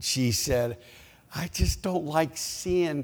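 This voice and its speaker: Over noticeable background noise, a man speaks very slowly with lively intonation. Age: 70s. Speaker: preacher. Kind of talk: sermon. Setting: church.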